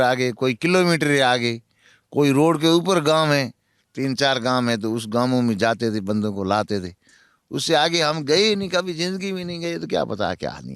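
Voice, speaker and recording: A man's fairly high, lively-intoned voice with a Marwari accent at a moderate pace, in a very clean recording with a silent background. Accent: Marwari-tinged Hindi. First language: Marwari (speaking Hindi). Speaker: former prisoner in Pakistan. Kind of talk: interview.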